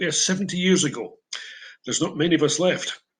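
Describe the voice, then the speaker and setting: This is a man's voice. He speaks with an Edinburgh accent. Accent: Scottish (Edinburgh). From Scotland, Edinburgh Old Town. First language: Broad Scots. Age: 70s. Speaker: English teacher. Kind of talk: prepared talk.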